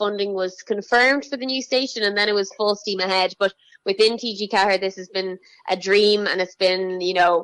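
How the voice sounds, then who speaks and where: A woman talks fairly quickly in a Dublin accent. Her pitch is medium, and her intonation is fairly even. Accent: Dublin Irish. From Ireland, north County Dublin. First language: Irish. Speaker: children's TV presenter. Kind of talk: interview.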